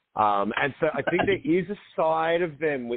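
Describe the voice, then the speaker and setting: A man with an Australian accent speaks with very wide pitch swings. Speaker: film director and co-writer. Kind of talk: casual radio interview. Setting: radio show.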